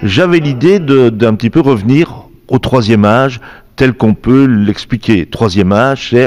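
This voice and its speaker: This man has an unremarkable speaking voice at medium pitch, with lively intonation and very even loudness. He talks at a fairly slow pace. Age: 60s. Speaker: singer-guitarist. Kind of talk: interview.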